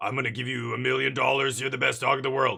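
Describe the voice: A put-on character voice from a man, raspy and growling, medium in pitch, at a very fast pace.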